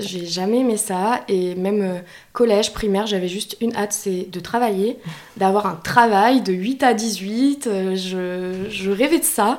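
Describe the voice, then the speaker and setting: At a very slow pace, a woman talks at medium pitch with fairly even intonation. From France, Bordeaux region. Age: 20s. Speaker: freelance video editor and content creator. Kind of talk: casual chat.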